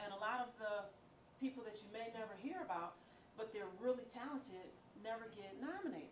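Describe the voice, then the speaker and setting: A woman talks at a very fast pace in a fairly high pitch. Noticeable background noise and audible room echo fill the recording. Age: 60s. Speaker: radio news producer and film critic. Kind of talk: motivational talk.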